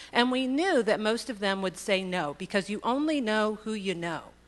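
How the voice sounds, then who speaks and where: A woman speaks in a fairly high voice with lively intonation. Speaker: state agency executive director. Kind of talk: conference speech. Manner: fast.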